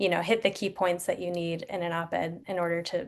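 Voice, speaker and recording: This is a woman speaking. The background is quiet. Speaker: journalist and media consultant presenting. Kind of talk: webinar presentation. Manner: fast.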